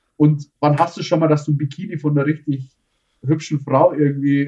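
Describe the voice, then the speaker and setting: A man speaks at a fairly high pitch. His tone is dark and mellow, and somewhat breathy. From Bavaria, Tegernsee. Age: 30s. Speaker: tile-laying business owner. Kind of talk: casual interview.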